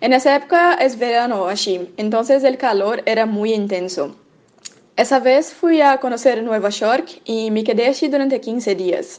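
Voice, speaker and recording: A woman speaks with a Portuguese accent. Her pitch is high and her intonation lively. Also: fairly slow pace. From Brazil. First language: Portuguese (speaking Spanish). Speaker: medical student. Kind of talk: prepared testimony.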